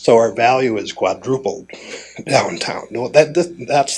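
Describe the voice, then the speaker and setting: A man with an Upper Midwest accent, medium pitch, and lively intonation, at a fairly slow pace. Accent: Upper Midwest American. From Fargo, North Dakota. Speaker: city commissioner. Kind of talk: conference talk. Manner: casual, conversational.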